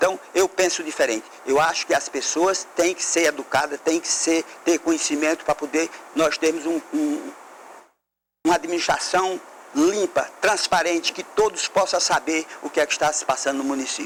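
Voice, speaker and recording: A man's high-pitched voice moves at a moderate pace, showing ordinary pitch variation. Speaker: mayoral candidate. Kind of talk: political debate statement. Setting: TV studio.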